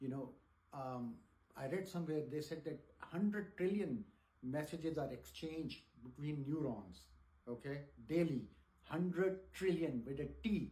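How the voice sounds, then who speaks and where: With long, frequent pauses and audible room echo, a man talks at a fairly slow pace in a fairly high voice with lively intonation. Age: 60s. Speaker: teacher. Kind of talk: lecture. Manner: halting.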